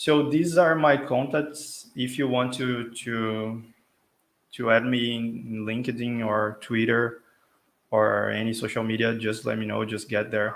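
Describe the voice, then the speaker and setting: With a Brazilian Portuguese accent, a man speaks in fairly even intonation amid audible room echo. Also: medium pitch for a man, fairly slow pace. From Brazil, São Paulo. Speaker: tech speaker, software consultant. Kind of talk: tech talk presentation. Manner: hesitant, many fillers.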